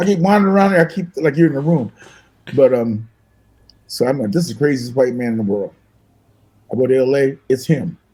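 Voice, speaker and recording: Talking very fast yet with long, frequent pauses, a man uses lively intonation in a somewhat breathy, dark and mellow voice of fairly high pitch. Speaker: musician. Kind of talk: casual chat, storytelling. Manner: animated.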